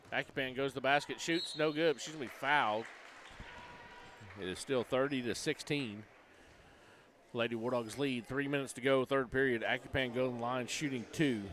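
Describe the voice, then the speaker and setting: Against crowd noise in the background, a man with a medium pitch and ordinary pitch variation speaks at a fairly quick pace, with long, frequent pauses. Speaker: high school basketball play-by-play announcer. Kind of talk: live sports commentary. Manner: loud.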